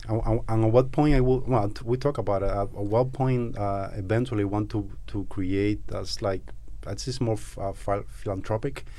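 Speaking with a Cuban accent, a man uses a fairly low, dark, mellow voice with fairly even intonation at a moderate pace. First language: Spanish. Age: 30s. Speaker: Amazon seller and entrepreneur, Cuban emigrant. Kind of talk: casual interview conversation.

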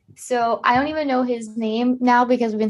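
A woman's ordinary speaking voice, fairly high in pitch, with an American accent and a fairly quick pace. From Ohio, US Midwest. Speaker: podcast co-host. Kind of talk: casual chat.

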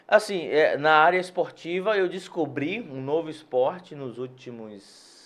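A man with a plain, everyday voice, fairly high-pitched for a man, talking at a fairly slow pace with hardly any pauses, lively intonation and big swings in loudness. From Salvador, Bahia, Brazil. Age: 40s. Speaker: physiotherapist. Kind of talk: interview.

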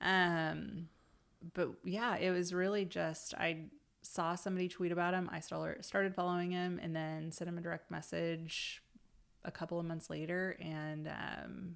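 A woman with an American accent speaks at a moderate pace in a fairly low, monotone, flat voice. The recording is very clean, with a silent background. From Oklahoma, small town near Stillwater. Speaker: social media advertising consultant. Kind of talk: casual interview.

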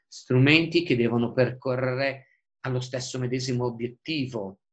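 This man speaks at a medium pitch. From northern Italy, Busto Arsizio (Lombardy). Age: 40s. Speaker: environmental lawyer and political activist. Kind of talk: interview.

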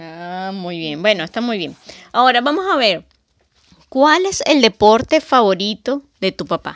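A woman speaks at a fairly slow pace with very wide pitch swings and big swings in loudness. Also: fairly high pitch for a woman. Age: 40s. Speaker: podcast host. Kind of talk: casual chat.

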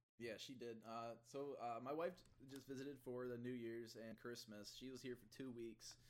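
With a Midwestern American accent, a man speaks in fairly even intonation. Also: medium pitch for a man, moderate pace. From US Midwest (Ottawa, Illinois). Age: 20s. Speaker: gaming streamer and podcast host. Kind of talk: casual chat. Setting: call.

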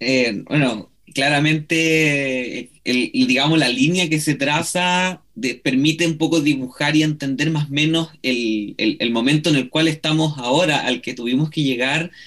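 A man talks at a fairly slow pace with hardly any pauses. His pitch is fairly high, with ordinary variation. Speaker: radio co-host, historian. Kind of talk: radio interview. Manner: halting.

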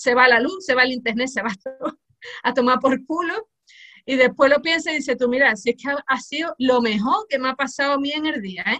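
In a raised, projected voice, a woman talks at a fairly quick pace with a bright, sharp tone. Her pitch is high, with ordinary variation. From Cádiz, Andalusia, Spain. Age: 40s. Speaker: music teacher and humor author. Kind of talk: interview.

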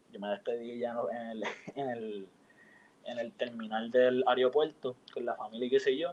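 An unremarkable speaking voice at a moderate pace. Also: man, medium pitch for a man. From Puerto Rico, San Juan. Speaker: university student. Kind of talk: casual chat.

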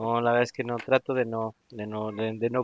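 Here a man talks at a medium pitch. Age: 40s. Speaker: podcast host. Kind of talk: casual chat. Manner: animated.

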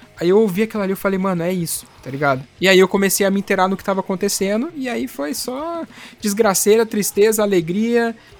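This man's voice sits high in pitch, moving at a fairly quick pace with lively intonation. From interior of São Paulo state, Brazil. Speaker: podcaster, punk music fan. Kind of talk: casual chat.

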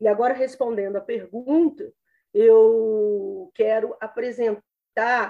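A woman with a dark, mellow tone speaks at a very slow pace. Her pitch swings very widely. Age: 50s. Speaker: public defender and law professor, election candidate. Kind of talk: campaign statement in interview.

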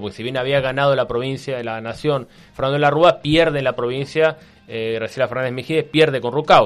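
A man talks very fast, his pitch sitting in the middle range and varying in an ordinary way. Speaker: historian and columnist. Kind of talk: radio column, casual historical explanation. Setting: radio studio. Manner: hesitant, many fillers.

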